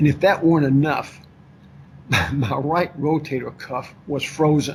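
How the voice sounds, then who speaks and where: Over noticeable background noise, a man with a Kentucky accent speaks fairly slowly in a fairly high voice with fairly even intonation. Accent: Kentucky Southern US. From Kentucky, Lexington. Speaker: author and former financier. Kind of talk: interview.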